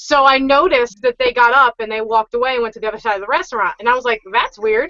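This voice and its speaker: A woman talks very fast and loud in a high pitch. Her tone is animated. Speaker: podcast panelist, parent. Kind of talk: casual chat.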